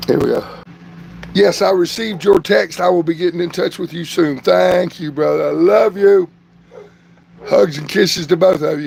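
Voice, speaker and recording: A man with a Southern US accent, long, frequent pauses, and noticeable background noise. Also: moderate pace. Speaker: vlogger doing a livestream. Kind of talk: casual livestream chat.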